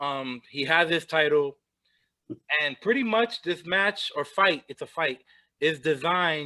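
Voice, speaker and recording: Here a man speaks with lively intonation. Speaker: wrestling podcast host. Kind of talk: casual chat. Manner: repetitive stammering restarts.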